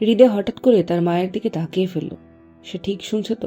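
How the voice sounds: With ordinary pitch movement, the reading voice sounds natural.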